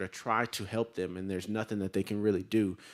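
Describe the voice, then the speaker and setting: A fairly low-pitched man with a Southern accent at a fairly quick pace, on a very clean recording with a silent background. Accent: Southern, less twang than Louisiana. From Tennessee, Chattanooga. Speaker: sales representative. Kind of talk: sales pitch. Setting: city council chamber. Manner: halting, many fillers and repetitions.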